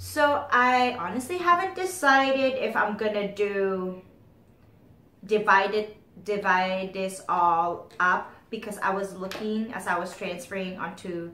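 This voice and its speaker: A woman speaks at a very slow pace, her medium pitch showing ordinary variation. Noticeable background noise and audible room echo surround her voice. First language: not English. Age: 30s. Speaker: beauty vlogger. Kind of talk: casual chat.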